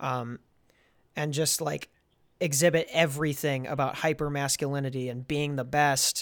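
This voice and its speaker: At a fairly high pitch, a man talks at a moderate pace with monotone, flat intonation on a very clean recording with a silent background. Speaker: rapper and podcast host. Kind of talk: casual chat.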